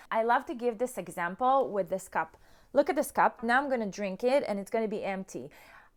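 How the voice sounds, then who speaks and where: A woman talks at a fairly quick pace with a fairly high pitch, an animated tone and lively intonation. The recording is very clean, with a silent background. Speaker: self-love coach. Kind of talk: motivational talk to camera. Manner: loud.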